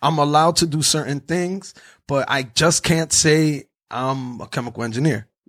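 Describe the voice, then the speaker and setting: A normal speaking voice with ordinary pitch variation. It moves at a moderate pace. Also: man, fairly high pitch for a man. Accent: American. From New Jersey. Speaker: podcaster. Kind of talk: casual chat.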